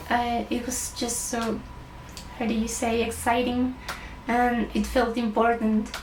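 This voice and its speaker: Long, frequent pauses break up a woman's monotone, flat delivery at a fairly high pitch. Audible room echo and noticeable background noise fill the recording. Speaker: illustrator. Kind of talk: award acceptance speech. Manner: halting, with many fillers.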